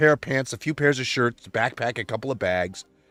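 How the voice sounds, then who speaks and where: Music plays in the background as a man speaks at a very fast pace. The sound is dry and close with no echo. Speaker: religious livestreamer. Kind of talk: emotional personal monologue. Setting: livestream. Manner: loud.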